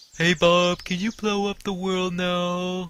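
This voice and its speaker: In a put-on character voice, a man speaks at a fairly slow pace and a high pitch with monotone, flat intonation. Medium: machinima. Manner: deferential.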